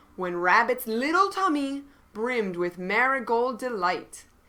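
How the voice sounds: This reading comes in a natural reading voice full of lively intonation.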